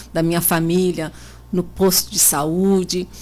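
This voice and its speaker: This is an ordinary speaking voice. It moves at a fairly slow pace. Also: woman. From Brazil, São Paulo state (Botucatu). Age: 40s. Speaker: local politician, mayoral candidate. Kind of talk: radio interview.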